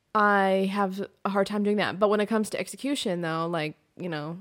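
A woman with an American accent has a plain, everyday voice at a medium pitch, talking at a fairly quick pace with fairly even intonation. The recording is very clean, with a silent background. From US Pacific Northwest. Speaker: podcast host. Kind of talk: solo monologue podcast. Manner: casual, rambling with fillers.

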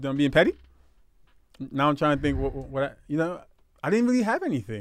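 A man with a New York accent talks very fast in a fairly high voice, his pitch swinging very widely, though he leaves long, frequent pauses. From Brooklyn, New York. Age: 30s. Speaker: podcast co-host. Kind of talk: casual chat. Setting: livestream recorded at home.

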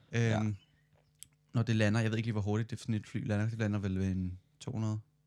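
The man's voice sits at a medium pitch. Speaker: podcast co-host, student. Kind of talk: casual chat.

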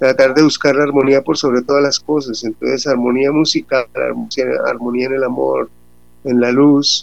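Long, frequent pauses break up a man's moderate pace. His medium pitch stays monotone and flat. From Colombia, Bucaramanga. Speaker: band vocalist. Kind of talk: radio interview.

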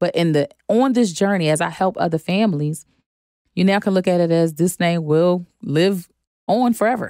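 With an American accent, a woman speaks at a moderate pace in a fairly low pitch and a dark, mellow tone, showing ordinary pitch variation and very even loudness, in a dry, close sound with no echo. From Philadelphia, US. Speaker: trust and asset protection educator. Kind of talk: podcast interview.

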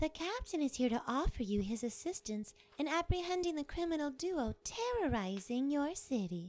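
A woman puts on a high-pitched character voice with very wide pitch swings. She keeps a moderate pace with hardly any pauses. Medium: audio drama. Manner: dry, weary.

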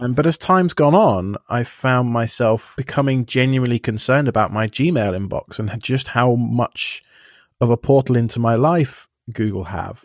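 Someone with an English accent speaks at a moderate pace with ordinary pitch variation, the sound dry and close with no echo. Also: man, medium pitch for a man. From England. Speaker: self-hosting podcaster. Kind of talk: casual chat. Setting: remote call.

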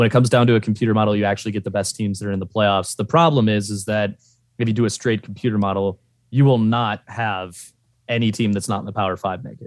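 A man's fairly low pitch at a very fast pace, fairly even intonation, and a very clean recording with a silent background. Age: 20s. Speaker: college football fan. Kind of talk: casual chat. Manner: formal.

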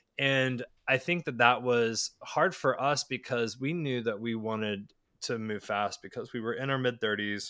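The speaker has an American accent and a bright, sharp tone. The recording is very clean with a silent background. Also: man, medium pitch for a man, ordinary pitch variation, moderate pace. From Charlotte, North Carolina. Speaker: parent via surrogacy. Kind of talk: interview.

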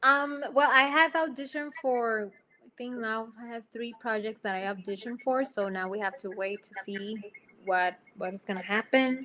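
A woman with a Spanish accent speaks at a moderate pace in a bright, sharp tone, her fairly high pitch paired with big swings in loudness. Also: ordinary pitch variation. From Puerto Rico. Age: young. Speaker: actress. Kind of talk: casual interview chat.

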